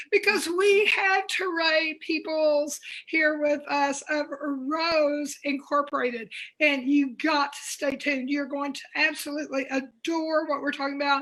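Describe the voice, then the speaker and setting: Speaking at a fairly slow pace, a woman has a high pitch and fairly even intonation. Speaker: guest talk show host. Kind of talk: casual interview chat. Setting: live video stream.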